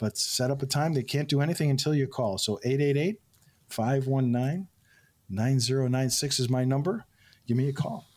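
Speaking at a moderate pace and very even loudness, a man with a plain, everyday voice holds a medium pitch with ordinary pitch variation. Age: 60s. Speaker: financial advisor. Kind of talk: radio call-in show chat.

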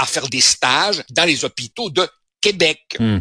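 With a bright, sharp tone and vocal fry, a man speaks at a fairly high pitch in a dry, close sound with no echo. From Uruguay. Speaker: newspaper columnist and sociologist. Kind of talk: radio commentary chat. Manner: animated.

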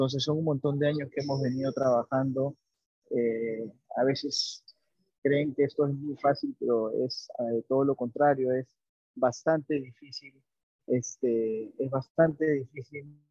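A man talks at a fairly slow pace in a fairly high voice. His intonation stays monotone and flat. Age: 40s. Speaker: chef. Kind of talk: interview. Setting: remote call. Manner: halting, many fillers.

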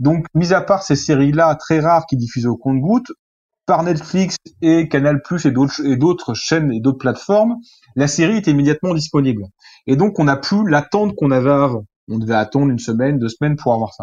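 A man with a fairly high pitch talks at a fairly quick pace, his intonation lively. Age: 30s. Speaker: journalist and film critic. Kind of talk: interview. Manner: hesitant, with fillers and repetitions.

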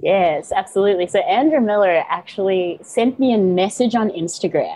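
A woman with an American accent has an unremarkable speaking voice, using lively intonation, a medium pitch and a moderate pace. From South Africa, Johannesburg, raised partly in US. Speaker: yoga, meditation and mindset teacher. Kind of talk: podcast interview. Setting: remote call.

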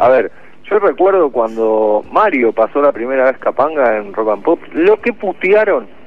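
A man with a fairly high pitch speaks at a fairly slow pace, his pitch swinging very widely. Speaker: radio host. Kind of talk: casual chat; scripted narration.

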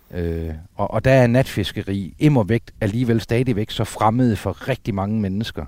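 On a very clean recording with a silent background, a man with a dark, mellow tone and fairly low pitch speaks with hardly any pauses. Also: ordinary pitch variation, fairly slow pace. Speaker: sea trout angler and river conservation chairman. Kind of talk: casual chat. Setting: outdoors on the coast at night.

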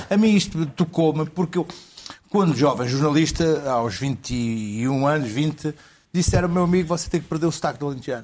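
A man with a fairly high pitch has an unremarkable speaking voice. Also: ordinary pitch variation, moderate pace. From Porto, northern Portugal. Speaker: journalist. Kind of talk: comedy panel chat.

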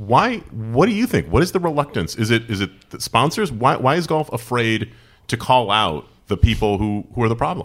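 A man with a normal speaking voice and an American accent talks at medium pitch and a moderate pace on a very clean recording with a silent background. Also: lively intonation. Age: 40s. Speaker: podcast host. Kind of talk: casual interview.

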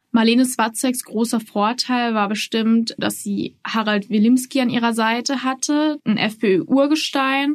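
An unremarkable speaking voice moves at a fairly slow pace with hardly any pauses and fairly even intonation over a quiet background. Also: woman, fairly high pitch for a woman. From Austria, Salzburg. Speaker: journalist. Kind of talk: interview.

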